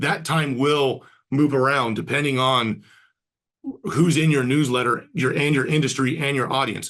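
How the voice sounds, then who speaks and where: The intonation of this man's speech is fairly even. Behind him, the background stays quiet. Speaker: marketing agency co-founder, webinar host; webinar presenter. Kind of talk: webinar presentation. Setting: online webinar. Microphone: webcam.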